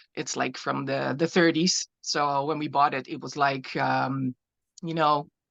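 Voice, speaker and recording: A woman with a Dutch accent and a very deep, low pitch, at a fairly slow pace. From Netherlands. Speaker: glass artist. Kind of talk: artist presentation. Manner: halting.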